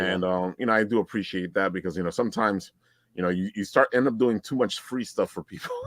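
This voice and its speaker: A man talks at a very fast pace with a Brooklyn accent and a fairly low pitch. The recording is dry and close, with no echo. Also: ordinary pitch variation. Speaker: podcast host and voiceover artist. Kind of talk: casual chat.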